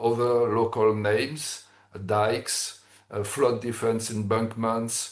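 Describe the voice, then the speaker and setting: This man talks with a French accent at a medium pitch. His pace is fairly slow, and the room echo is audible. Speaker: engineering expert presenter. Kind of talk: technical presentation. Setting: webinar. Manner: halting, many fillers.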